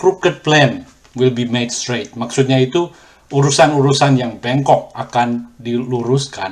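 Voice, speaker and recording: Somewhat breathy and medium in pitch, a man talks at a fairly slow pace with ordinary pitch variation. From Indonesia, then Australia. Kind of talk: testimony. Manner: hesitant, with filler sounds.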